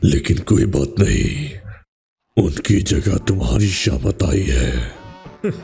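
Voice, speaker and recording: A man's cartoonish character voice, very deep and low, raspy and menacing, at a very slow pace over music in the background. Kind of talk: anime fan dub. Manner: menacing, taunting.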